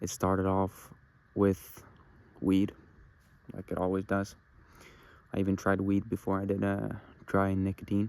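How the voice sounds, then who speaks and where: Long, frequent pauses and monotone, flat intonation, with a Norwegian accent. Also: man, fairly low pitch for a man, moderate pace. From Norway. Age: young. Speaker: vlogger. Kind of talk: personal confessional monologue. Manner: halting.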